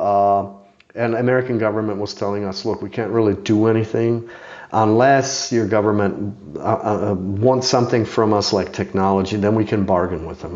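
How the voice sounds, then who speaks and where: The speaker has a Czech accent and a fairly quick pace with ordinary pitch variation. There is noticeable background noise. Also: man, fairly low pitch for a man. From Czech Republic. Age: 50s. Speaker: bow maker and mounted archer. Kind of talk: casual interview. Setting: in person at his home.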